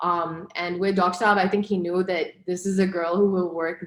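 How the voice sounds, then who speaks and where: Monotone and flat, a woman of medium pitch talks at a moderate pace with a slight non-native accent. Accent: slight non-native accent in Urdu. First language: Pashto. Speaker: broadcast journalist. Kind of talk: interview.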